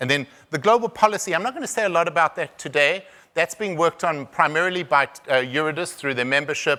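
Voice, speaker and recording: On a very clean recording with a silent background, a man in a South African accent talks at a very fast pace in a bright, sharp tone with lively intonation. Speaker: conference speaker on rare disease diagnosis. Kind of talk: conference presentation. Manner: halting, many repetitions and fillers.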